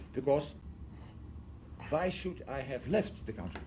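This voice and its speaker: His pitch swings very widely, with vocal fry in the voice. The man keeps a moderate pace. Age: 70s. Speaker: adoption researcher, professor. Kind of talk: lecture to an audience.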